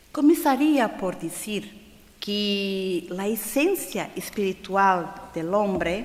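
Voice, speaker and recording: Over noticeable background noise and audible room echo, a woman speaks at a very slow pace. Her medium-pitched voice has lively intonation. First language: Portuguese (speaking Spanish). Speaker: conference speaker on spiritism. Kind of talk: lecture. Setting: stage with audience at a congress. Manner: slow, deliberate; halting, with fillers.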